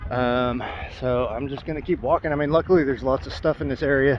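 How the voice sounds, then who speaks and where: The speech goes at a very fast pace with fairly even intonation. Noticeable background noise can be heard. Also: man. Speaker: traveling vlogger and street musician. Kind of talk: casual vlog to camera. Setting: outdoors. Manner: hesitant, many fillers.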